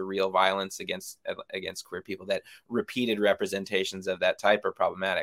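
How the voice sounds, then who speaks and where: A man with an American accent and a fairly low pitch talks at a fairly quick pace in a bright, sharp tone. The recording is very clean, with a silent background and a dry, close sound with no echo. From United States. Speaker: film director. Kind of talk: interview.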